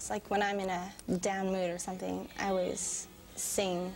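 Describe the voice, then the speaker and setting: Flat and monotone, a woman talks at a moderate pace while music plays clearly behind her. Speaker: interviewee. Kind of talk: interview answer. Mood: shy but confident. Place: classroom. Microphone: lapel.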